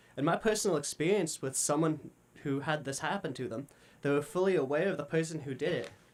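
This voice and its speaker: A man rushes along at a very fast pace, with a fairly high pitch and ordinary pitch variation. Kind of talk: spoken word personal message. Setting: studio. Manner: small stutters.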